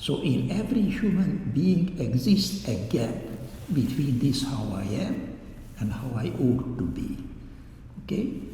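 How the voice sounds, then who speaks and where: A man with a non-native accent speaks at a medium pitch and a fairly slow pace, with very wide pitch swings and long, frequent pauses. Noticeable background noise and audible room echo are present. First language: not English. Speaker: doctor giving a public talk. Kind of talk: lecture. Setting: church hall talk with audience.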